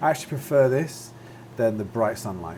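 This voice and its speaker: Over noticeable background noise and audible room echo, a man talks at a fairly quick pace. His medium-pitched voice has ordinary pitch variation. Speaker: flight sim video creator. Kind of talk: gameplay commentary. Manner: casual, many fillers.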